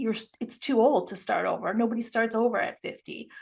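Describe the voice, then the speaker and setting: An unremarkable speaking voice belonging to a woman, pitched fairly high, delivered at a moderate pace. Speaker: empowerment coach and podcast creator. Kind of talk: casual interview chat.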